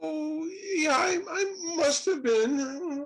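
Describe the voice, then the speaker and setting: The speaker uses a high-pitched, put-on character voice. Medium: stage play. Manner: eager, bumbling.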